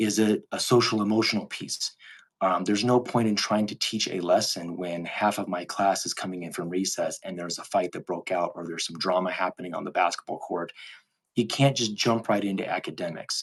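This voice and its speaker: A man talks at a fairly quick pace. His pitch sits fairly low. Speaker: teacher. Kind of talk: casual live Q&A monologue. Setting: live video stream. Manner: fast and animated when excited.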